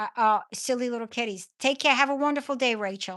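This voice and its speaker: Against a quiet background, a woman with a New York accent talks at a moderate pace in a fairly high voice with ordinary pitch variation. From New York (Brooklyn). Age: 60s. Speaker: livestream host. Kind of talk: casual livestream chat. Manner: halting.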